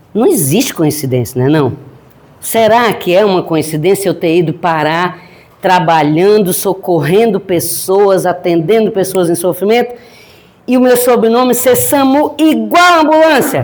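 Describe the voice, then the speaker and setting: A woman at medium pitch speaks at a fairly slow pace with very wide pitch swings and very even loudness. Audible room echo and noticeable background noise surround her. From Northeast Brazil, Piauí. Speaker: grief counselor and spiritist lecturer. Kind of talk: lecture. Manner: animated, joking.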